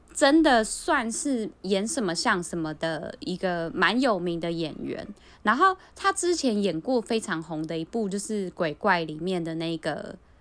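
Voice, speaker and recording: This woman's pitch swings very widely. Her pace stays fairly slow. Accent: Taiwanese. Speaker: podcast co-host. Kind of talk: casual chat.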